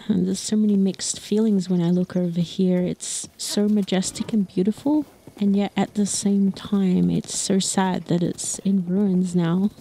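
A woman with a medium pitch talks at a moderate pace in a warm, gentle tone, with fairly even intonation, very even loudness and hardly any pauses, over noticeable background noise. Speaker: storyteller and horseback tour guide. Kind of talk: storytelling in a fantasy world, casual riding chat mixed with dramatic narration. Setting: outdoors on horseback. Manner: warm, gentle, wistful.

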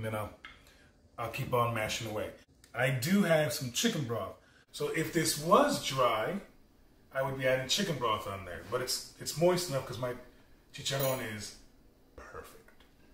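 At a moderate pace, a man talks with big swings in loudness, light background noise and audible room echo. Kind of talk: tutorial. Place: kitchen. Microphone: camera far.

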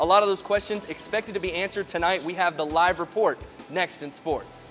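Faint music plays in the background behind an upbeat, energetic tone. The pace is fairly quick. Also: man, high pitch for a man. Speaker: sports reporter and anchor. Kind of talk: live shot stand up.

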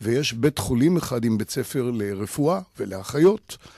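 Speaking very slowly, a man with a dark, mellow tone and lively intonation comes across dry with no echo against a quiet background. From Israel, Jerusalem; Israel. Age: 70s. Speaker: photographer and gallery owner; interview guest. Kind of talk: radio interview. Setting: radio studio. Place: studio. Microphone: studio mic.

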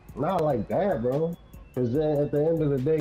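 Over background music, a man with a fairly high pitch speaks in a calm tone at a moderate pace, his loudness very even and his pitch varying in an ordinary way. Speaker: online basketball game player in voice chat. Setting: online game voice chat. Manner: calm, laid-back.

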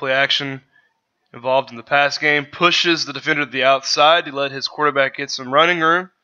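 A man speaks at a fairly quick pace with a fairly high pitch, fairly even intonation and big swings in loudness. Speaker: sports podcaster, draft analyst. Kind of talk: solo video commentary breaking down game footage. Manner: casual, somewhat halting with fillers and repeats.

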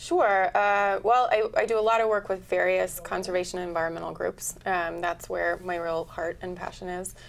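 The speaker has an American accent and a moderate pace with hardly any pauses. Intonation is fairly even, with light background noise behind. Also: woman, medium pitch for a woman. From Oregon. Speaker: environmental lawyer and activist. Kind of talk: talk show interview. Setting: studio. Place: studio.

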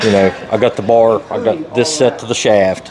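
With crowd noise in the background, a man speaks with ordinary pitch variation. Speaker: workshop instructor building the machine. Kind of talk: hands-on tutorial explanation. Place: workshop. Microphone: phone near.

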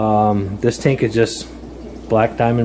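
Light background noise sits behind this man as he talks. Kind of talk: casual tour commentary. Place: home room. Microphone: phone near.

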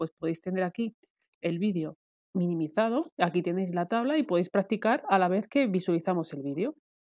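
In a dry, close sound with no echo, a woman speaks fairly quickly at a medium pitch, her tone dark and mellow, with ordinary pitch variation. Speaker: Excel tutorial creator. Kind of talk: screen-share software tutorial.

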